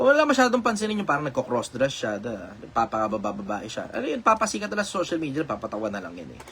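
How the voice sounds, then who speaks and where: A man's voice over noticeable background noise. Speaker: online commentator answering questions. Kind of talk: casual live stream talk. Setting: live stream.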